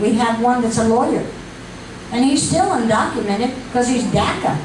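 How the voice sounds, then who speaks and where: Audible room echo and noticeable background noise surround a woman whose pitch is fairly high. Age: 80s+. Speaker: community activist. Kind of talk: speech to an audience.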